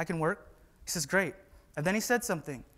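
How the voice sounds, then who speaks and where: In a West Coast accent, a man talks at a very fast pace with a high voice. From US Pacific Northwest, Whatcom County, Washington. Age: 20s. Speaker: conference speaker, employee. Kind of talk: conference talk. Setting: stage with audience.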